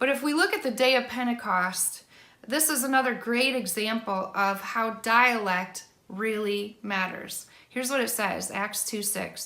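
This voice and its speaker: In a northern US accent, a woman with a fairly high, bright, sharp voice speaks at a fairly slow pace with ordinary pitch variation, amid audible room echo. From Michigan, US (Allegan). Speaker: worship songwriter. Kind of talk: teaching talk to camera.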